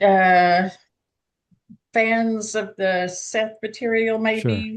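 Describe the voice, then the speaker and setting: In a Southern US accent, a woman speaks at a very slow pace. Her intonation is flat and monotone. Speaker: group participant. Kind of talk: casual group chat.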